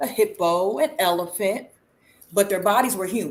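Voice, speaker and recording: An ordinary speaking voice from a woman with an American accent, medium in pitch, with lively intonation. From Southern New Jersey. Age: 40s. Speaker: spiritual guest speaker. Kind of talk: interview answer.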